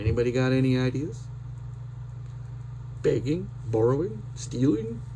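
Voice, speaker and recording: With audible room echo, a man speaks at a medium pitch and a fairly slow pace, his intonation fairly even, his voice showing vocal fry, and his speech broken by long, frequent pauses. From Saskatchewan, Canada. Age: 50s. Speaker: vlogger. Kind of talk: casual personal vlog. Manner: unrehearsed, hesitant with many fillers.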